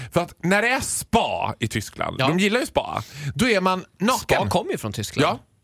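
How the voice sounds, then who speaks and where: Loud and animated, a man talks at a moderate pace and a high pitch, with very wide pitch swings. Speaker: radio comedian. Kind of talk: casual chat.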